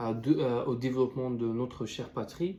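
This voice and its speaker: A man speaks against noticeable background noise. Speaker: student youtuber. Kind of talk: video essay commentary. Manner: halting, many fillers and restarts.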